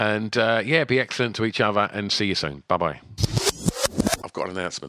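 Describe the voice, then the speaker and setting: A man speaks at a fairly quick pace with fairly low pitch, a bright, sharp tone and vocal fry. The sound is dry and close, with no echo. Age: 40s. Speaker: podcast host. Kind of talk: casual chat.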